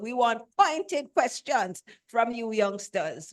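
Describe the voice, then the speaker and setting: Intonation is lively while the pace stays very slow. The background is quiet. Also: woman. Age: 70s. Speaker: event moderator. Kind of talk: moderating a Q&A. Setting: stage with audience. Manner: animated.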